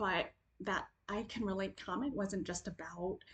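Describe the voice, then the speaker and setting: Somewhat breathy speech at a fairly slow pace with ordinary pitch variation. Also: woman. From Ethiopian family background. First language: Amharic. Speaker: video essayist and caregiver advocate. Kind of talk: personal reflective monologue.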